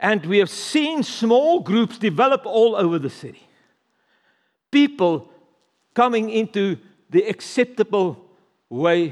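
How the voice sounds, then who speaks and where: A man speaks in a South African accent. His pitch is high and swings very widely. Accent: Afrikaans-accented English. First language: Afrikaans. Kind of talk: sermon. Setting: church service with congregation.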